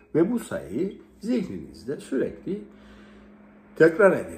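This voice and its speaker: Very slow speech over faint music in the background. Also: man. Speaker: self-help guide. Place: home room. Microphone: phone near.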